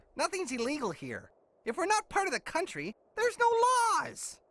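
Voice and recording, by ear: A cartoonish character voice, high in pitch, with very wide pitch swings and a fairly quick pace.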